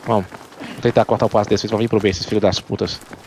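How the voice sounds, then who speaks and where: This man speaks at a very fast pace in a fairly low pitch. Background noise is noticeable. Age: 30s. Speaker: gaming streamer. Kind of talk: live gameplay chat. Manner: animated.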